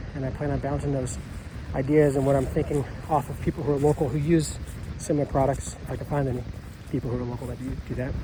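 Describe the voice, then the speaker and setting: Over noticeable background noise, a man rushes along at a very fast pace in a monotone, flat intonation. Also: medium pitch for a man. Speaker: farmer. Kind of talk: casual walkthrough vlog.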